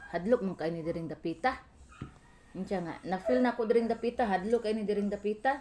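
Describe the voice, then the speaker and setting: Lively intonation and a very fast pace come with a Philippine accent. The tone is dark and mellow. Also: woman, medium pitch for a woman. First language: Cebuano (speaking Tagalog). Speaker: vlogger. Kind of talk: casual home vlog narration.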